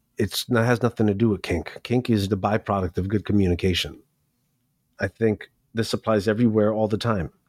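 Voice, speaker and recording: An ordinary speaking voice from a man with an American accent, fairly low in pitch with fairly even intonation and very even loudness, at a fairly quick pace with a dry, close sound with no echo. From New York City. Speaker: professional dominant and event host. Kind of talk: interview answers.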